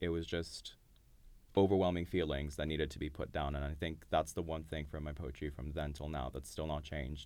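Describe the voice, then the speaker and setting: A man with a very deep, low pitch and vocal fry speaks fairly quickly. His intonation is monotone and flat. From Dubai, Iranian family. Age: 20s. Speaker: poet. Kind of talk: casual interview.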